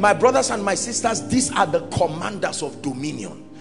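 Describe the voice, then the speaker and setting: With clear music in the background, a man talks at a moderate pace with a high pitch and lively intonation. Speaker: preacher. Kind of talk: sermon preached to a congregation. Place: church. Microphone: handheld.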